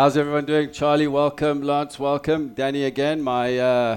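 In a South African accent, a man with a fairly high pitch speaks at a moderate pace in a monotone, flat intonation. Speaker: sports radio host. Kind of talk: casual chat.

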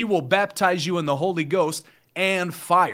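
In an American accent, a man talks at a moderate pace with a high pitch and a bright, sharp tone. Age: 20s. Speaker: online evangelist. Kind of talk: casual chat with preaching.

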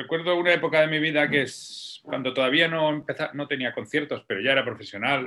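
This man's voice sits fairly high. He gets his words out very fast. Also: ordinary pitch variation. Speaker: orchestral percussionist. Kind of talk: interview conversation. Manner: animated.

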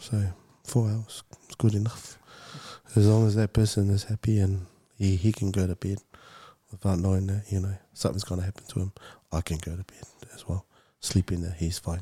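A man talks at a fairly quick pace with long, frequent pauses and a monotone, flat intonation. His somewhat breathy, dark and mellow voice sounds dry and close with no echo, in a very clean recording with a silent background. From Samoa. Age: 40s. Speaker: mental health advocate. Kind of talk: interview testimony.

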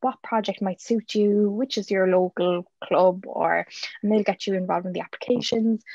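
In a Cork accent, a woman talks fairly quickly at a medium pitch with fairly even intonation and a dry, close sound with no echo. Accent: Cork Irish. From Ireland, County Cork. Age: 20s. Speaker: youth volunteer and legal secretary. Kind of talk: interview.

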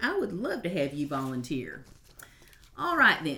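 A woman with a Kentucky accent talks at a moderate pace in a bright, sharp tone. Her pitch swings very widely. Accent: Southern US, Kentucky. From Western Kentucky. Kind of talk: interview, casual conversation.

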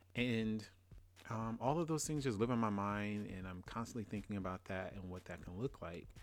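At a moderate pace, a man speaks with a Louisiana accent and ordinary pitch variation. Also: fairly low pitch for a man. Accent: US Southern, Louisiana. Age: 30s. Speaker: podcast host. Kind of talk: casual solo monologue.

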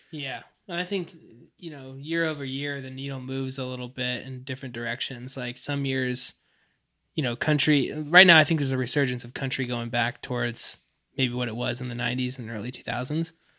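A man with a northern New York accent, medium-pitched and bright and sharp in tone, at a fairly quick pace with fairly even intonation and big swings in loudness, on a very clean recording with a silent background. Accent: northern New York American. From northeastern upstate New York, near Quebec border. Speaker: songwriter. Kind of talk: casual chat.

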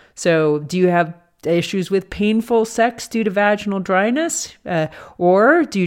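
A woman with an ordinary speaking voice talks at a moderate pace and medium pitch with lively intonation, on a very clean recording with a silent background. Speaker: doctor and podcast host. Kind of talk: educational podcast discussion, casual.

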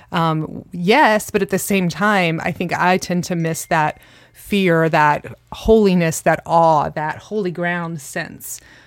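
Here a woman speaks with fairly even intonation. Her voice is fairly low in pitch. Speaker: host's wife, Bible study discussant. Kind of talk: casual Bible study discussion. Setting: home closet, shared microphone.

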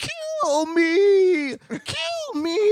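This is a put-on character voice at an extremely high pitch. It sounds squeaky.

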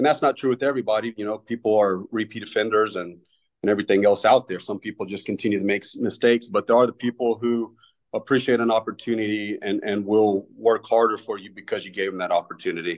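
Very fast and fairly low-pitched, a man speaks with a Texan accent and fairly even intonation. The background is quiet. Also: dry, close sound with no echo. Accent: Texan American. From Texas. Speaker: firefighter lieutenant. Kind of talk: interview. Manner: halting.

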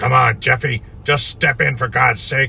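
A man puts on a raspy, gruff character voice, mumbling at a moderate pace with a medium pitch and fairly even intonation. Clear background noise is heard behind him. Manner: impatient, barking, mumbling.

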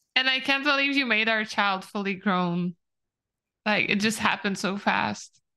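Loudness stays very even as a woman speaks at a moderate pace. Her fairly high pitch, with ordinary variation, has a bright, sharp tone. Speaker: tabletop roleplaying player. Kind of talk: casual banter and roleplay.

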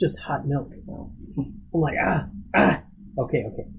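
A man speaks at a moderate pace in a somewhat breathy voice with a fairly high pitch. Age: 50s. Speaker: podcast host and corporate mentor to interns. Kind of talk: casual chat. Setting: office.

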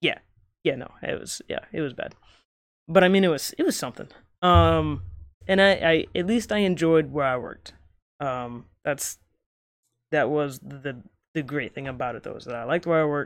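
Pausing long and frequently, a man speaks at a moderate pace. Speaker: podcast host. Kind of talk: casual chat. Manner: casual, rambling.

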